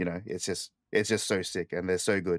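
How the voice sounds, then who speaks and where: This man talks at a fairly quick pace in a very deep, low pitch. The recording is very clean with a silent background, the sound dry and close with no echo. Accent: Australian. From Australia. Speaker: podcast host. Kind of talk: casual chat.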